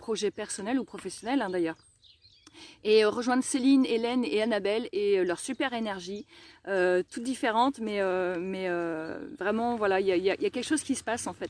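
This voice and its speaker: In a very clean recording with a silent background and a dry, close sound with no echo, a woman of medium pitch talks at a fairly quick pace with ordinary pitch variation. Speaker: energy healer. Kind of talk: testimony. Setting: outdoors, garden live stream. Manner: fast; hesitant, many fillers.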